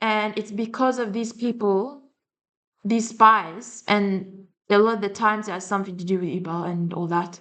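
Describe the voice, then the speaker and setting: Her voice sits at a medium pitch, and this woman speaks with an Eastern European accent. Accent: Slavic. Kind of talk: casual talk to camera.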